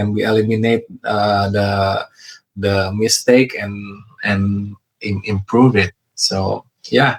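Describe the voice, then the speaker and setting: With an Indonesian accent, a man talks in a fairly low pitch. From Indonesia, West Java (Bandung). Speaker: real estate investor. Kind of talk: interview. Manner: halting, many fillers; careful, deliberate.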